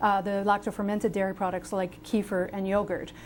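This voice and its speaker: A woman talks at a fairly quick pace. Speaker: health author and researcher. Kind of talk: TV interview. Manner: fast; passionate.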